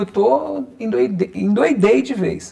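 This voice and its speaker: A man's voice over noticeable background noise. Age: 30s. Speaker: holistic therapist and reiki teacher. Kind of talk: interview.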